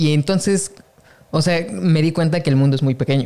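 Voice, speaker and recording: Here a man speaks in an ordinary speaking voice with fairly high pitch. His pitch variation is ordinary. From Mexico. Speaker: podcast host, photographer. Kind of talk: casual interview chat.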